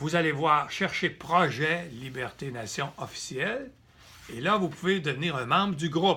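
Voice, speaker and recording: Speaking at a fairly slow pace, a man has a fairly high pitch and a bright, sharp tone. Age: 70s. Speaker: political activist. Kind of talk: direct-to-camera political appeal. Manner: halting, with repetitions.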